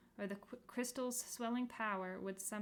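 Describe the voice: The clip consists of plain reading aloud.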